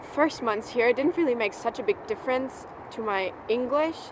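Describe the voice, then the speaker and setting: Noticeable background noise behind a woman's high voice. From Germany. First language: German. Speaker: au pair vlogger. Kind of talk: casual vlog monologue.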